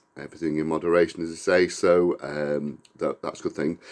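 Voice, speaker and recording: This man has an English accent and talks at a fairly quick pace. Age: 50s. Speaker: vlogger. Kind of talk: casual vlog talk. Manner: hesitant, many fillers.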